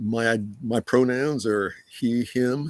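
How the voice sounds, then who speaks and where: This man talks with an American accent and ordinary pitch variation. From US, military upbringing. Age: 70s. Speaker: geriatric mental health specialist. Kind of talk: panel discussion.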